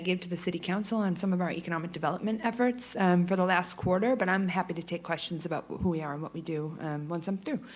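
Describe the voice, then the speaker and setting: A woman with a medium pitch and ordinary pitch variation speaks at a very fast pace with hardly any pauses. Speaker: chamber of commerce president. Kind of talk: presentation. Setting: public meeting in a hall.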